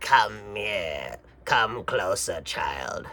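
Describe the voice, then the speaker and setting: A man's soft-spoken, raspy put-on character voice. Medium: read story. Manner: soft, coaxing.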